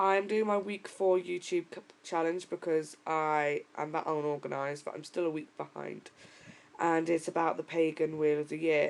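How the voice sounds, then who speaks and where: The speaker uses a British accent and a moderate pace. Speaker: pagan vlogger. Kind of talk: vlog.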